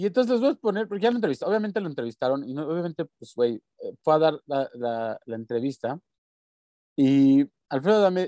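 A man with a fairly high pitch and a dark, mellow tone talks at a fairly quick pace. His pitch swings very widely, his loudness shifts a lot, and he takes long, frequent pauses. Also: dry, close sound with no echo. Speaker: podcast co-host. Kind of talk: casual chat.

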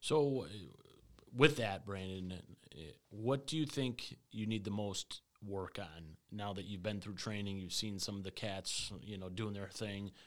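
The man has a normal speaking voice, fairly low in pitch with ordinary pitch variation. He speaks at a fairly slow pace. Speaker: HVAC sales rep and podcast host. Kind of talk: casual podcast chat. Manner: casual, joking.

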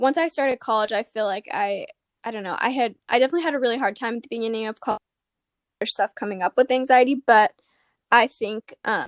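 Talking very fast with an American accent, a woman with a fairly high pitch and ordinary pitch variation comes through dry and close with no echo against a quiet background. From Arizona. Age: 20s. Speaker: podcast host and college student. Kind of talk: casual interview.

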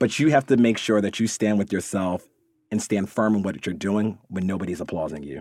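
In a very clean recording with a silent background, a man with a normal speaking voice talks at a fairly low pitch with ordinary pitch variation. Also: fairly quick pace. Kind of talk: pep talk. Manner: warm, encouraging.

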